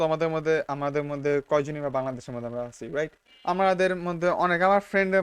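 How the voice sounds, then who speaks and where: A man with a normal speaking voice talks at a fairly high pitch with ordinary pitch variation. The sound is dry and close, with no echo. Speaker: YouTuber. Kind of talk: casual vlog monologue. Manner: casual, mixes English words.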